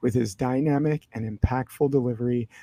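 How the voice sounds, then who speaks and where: Quiet and dark, mellow in tone, a man speaks at a moderate pace and medium pitch. His intonation stays fairly even, and the sound is dry and close with no echo. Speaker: podcast host. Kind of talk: podcast interview; reading aloud a bio. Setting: library. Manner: quiet, hushed.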